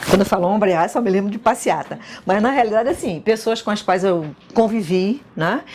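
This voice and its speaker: A woman speaks at a medium pitch and a moderate pace with ordinary pitch variation. Noticeable background noise sits behind her. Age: 60s. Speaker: former student. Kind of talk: interview testimony.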